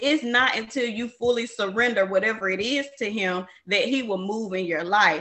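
A woman talks at a moderate pace with hardly any pauses. Hers is an unremarkable speaking voice, fairly high in pitch. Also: ordinary pitch variation. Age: 20s. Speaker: podcast host. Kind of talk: casual chat.

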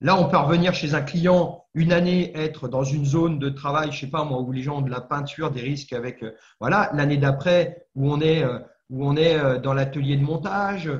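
A somewhat breathy man's voice, fairly high in pitch, with audible room echo. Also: moderate pace. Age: 50s. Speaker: former firefighter, fire safety trainer and entrepreneur. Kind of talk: interview. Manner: halting, many fillers.

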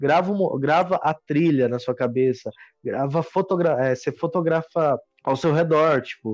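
In a plain, everyday voice, a man speaks at a fairly high pitch with lively intonation, in a dry, close sound with no echo and a quiet background. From Minas Gerais, Brazil. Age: 20s. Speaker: hiker. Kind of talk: casual chat.

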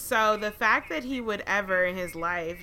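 Here a woman speaks in an American accent with a bright, sharp tone. Her pitch varies in an ordinary way. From Atlanta, US South. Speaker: podcast co-host. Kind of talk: casual chat.

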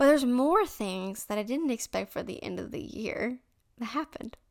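A woman speaks with a fairly high pitch, lively intonation and some vocal fry. Her pace is moderate, and the recording is very clean with a silent background. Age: young. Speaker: faith podcast host. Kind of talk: casual story time monologue.

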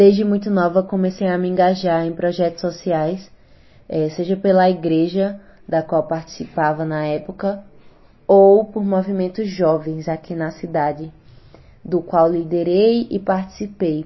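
A woman with an ordinary speaking voice, a fairly low pitch, fairly even intonation and a fairly slow pace. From Garanhuns, Pernambuco, Brazil. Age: 20s. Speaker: city councillor and rapper. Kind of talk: interview.

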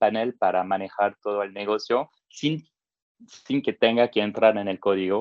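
A man speaks with a French accent at a medium pitch. His pace is moderate, with ordinary pitch variation. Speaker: tech entrepreneur, no-code expert. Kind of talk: interview. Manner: hesitant, with many fillers.

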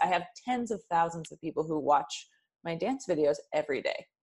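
A woman uses a normal speaking voice, fairly low in pitch, with lively intonation at a moderate pace. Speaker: author. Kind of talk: interview conversation. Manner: casual, relaxed.

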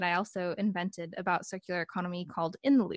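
Speaking in a General American accent, a woman with a plain, everyday voice holds a medium pitch with ordinary pitch variation. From United States. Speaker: PhD researcher, podcast host. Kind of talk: interview conversation.

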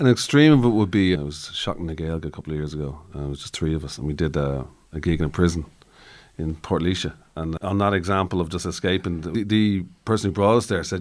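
Speaking very fast with an Irish accent, a man with a very deep, low pitch shows ordinary pitch variation. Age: 50s. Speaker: musician. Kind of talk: interview.

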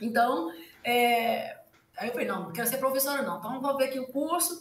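At a moderate pace, the pitch rises and falls in an ordinary way. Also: woman. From rural Minas Gerais, Brazil. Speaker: economics professor. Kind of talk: casual interview chat. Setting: livestream video recording.

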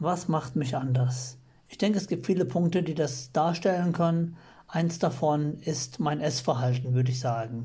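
At a moderate pace, a man with a fairly high pitch and ordinary pitch variation sounds somewhat breathy, his tone dark and mellow, with audible room echo. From Germany, rural village. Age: 30s. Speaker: listener sending a voice message. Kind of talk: recorded voice message. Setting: self-recorded audio message.

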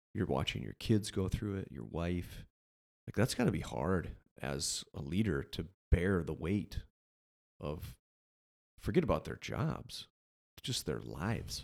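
Using vocal fry, a man with a very deep, low pitch talks at a fairly slow pace with very wide pitch swings and long, frequent pauses. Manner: animated, casual.

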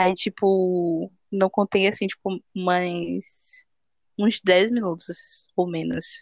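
The woman's intonation is monotone and flat, recorded with a dry, close sound and no echo. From Bahia, Brazil (Salvador). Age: 20s. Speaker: podcast host. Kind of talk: casual chat.

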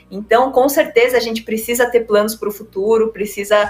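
Speaking at a moderate pace, a woman with a fairly high pitch has an unremarkable speaking voice. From São Paulo state, Brazil. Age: 30s. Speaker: olympic table tennis player. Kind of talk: interview conversation.

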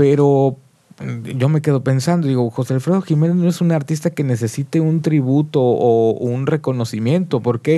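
This man talks at a moderate pace in a fairly high pitch, his tone dark and mellow, with ordinary pitch variation and very even loudness. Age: 40s. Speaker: musician. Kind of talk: casual chat. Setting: studio.

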